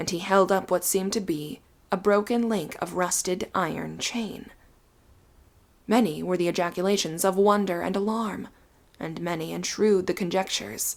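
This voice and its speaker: A soft-spoken woman's medium-pitched voice, with fairly even intonation and a moderate pace. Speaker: audiobook narrator. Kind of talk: Victorian ghost story narration.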